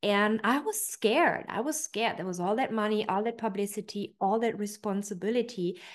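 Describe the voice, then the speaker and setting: A woman in a German accent talks at a moderate pace and medium pitch with ordinary pitch variation over a quiet background. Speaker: personal development coach. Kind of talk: online training talk.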